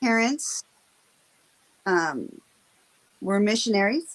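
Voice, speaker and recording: The speaker has an American accent and very wide pitch swings. Pauses are long and frequent. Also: woman. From western Washington. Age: 50s. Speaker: stroke survivor. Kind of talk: interview. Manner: halting.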